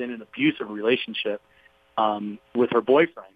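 The man talks fairly quickly in a normal speaking voice, his pitch varying in an ordinary way. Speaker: TV host and podcaster. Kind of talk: interview storytelling.

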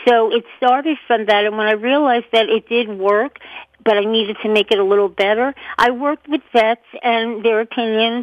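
At a moderate pace, a woman talks in an ordinary speaking voice, fairly high in pitch, with fairly even intonation. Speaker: pet product entrepreneur. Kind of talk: interview.

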